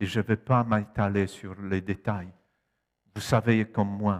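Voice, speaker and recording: In a very clean recording with a silent background and a dry, close sound with no echo, a man with a Polish accent speaks very slowly at a fairly low pitch with fairly even intonation. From Poland. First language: Polish (speaking French). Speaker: preacher. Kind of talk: sermon. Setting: church.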